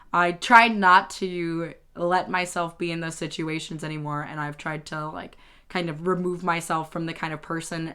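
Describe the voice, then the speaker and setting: A woman with a fairly low pitch speaks at a fairly slow pace and fairly even intonation on a very clean recording with a silent background. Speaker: YouTuber. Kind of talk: casual monologue. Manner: halting.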